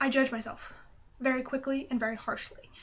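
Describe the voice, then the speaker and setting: A woman speaks with an American accent at a moderate pace. Her voice is high, with fairly even intonation. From United States. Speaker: pagan vlogger. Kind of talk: casual vlog monologue.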